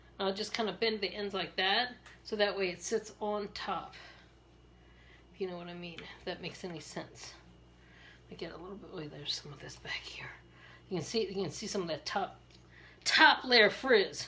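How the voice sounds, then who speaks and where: A woman at a medium pitch speaks at a moderate pace with long, frequent pauses, ordinary pitch variation and big swings in loudness. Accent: American. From Maryland, US. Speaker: beauty sales rep and vlogger. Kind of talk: hairstyling tutorial with casual chat. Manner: chatty, halting with repetitions.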